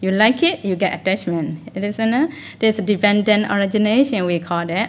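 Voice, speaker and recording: A woman talks at a fairly quick pace in an ordinary speaking voice. Her pitch is medium, with ordinary variation. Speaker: Buddhist meditation teacher. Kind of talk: dharma talk. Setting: meditation retreat.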